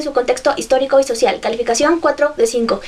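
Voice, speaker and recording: Over noticeable background noise, a woman speaks very fast in an animated tone with lively intonation. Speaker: book vlogger. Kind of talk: book review vlog.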